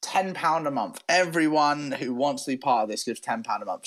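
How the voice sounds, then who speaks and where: A man speaks with a West Country accent at a moderate pace. The background is quiet. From southwest England, Devon. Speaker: podcast co-host. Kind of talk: casual debate chat.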